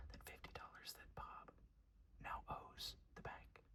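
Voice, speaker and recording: A man speaks in a whisper. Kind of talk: ASMR whisper ramble. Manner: whispered, soft-spoken.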